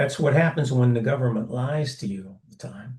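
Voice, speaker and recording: A man with an American accent, medium pitch, a dark, mellow tone and a somewhat breathy quality at a moderate pace. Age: 70s. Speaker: author and retired teacher. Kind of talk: interview. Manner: halting.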